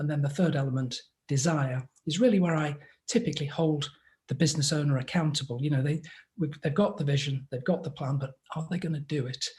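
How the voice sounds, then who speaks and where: A man speaks at a very fast pace with a fairly high pitch and ordinary pitch variation. His voice is somewhat breathy. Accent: English. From England. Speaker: business advisor. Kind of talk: interview.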